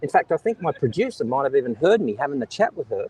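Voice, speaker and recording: Recorded with a dry, close sound and no echo, a man with an Australian accent talks at a very fast pace in an animated tone. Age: old. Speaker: live streamer. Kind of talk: live stream monologue. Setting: outdoors on a beach.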